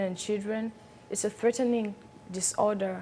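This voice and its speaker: A woman speaks at a fairly high pitch and a moderate pace. Her intonation is flat and monotone. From Tanzania. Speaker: beauty pageant contestant. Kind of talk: interview. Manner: halting.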